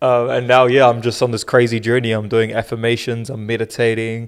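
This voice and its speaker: Delivered at a moderate pace, the voice carries a New Zealand accent. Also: man. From New Zealand (Auckland), born in South Africa. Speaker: podcast co-host. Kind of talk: casual chat.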